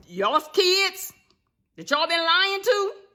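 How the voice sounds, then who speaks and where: A woman projects her voice in a raised, bright, sharp tone. Her pitch swings very widely as she speaks at a fairly slow pace. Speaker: motivational speaker. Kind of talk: direct-to-camera vlog rant. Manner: loud; animated.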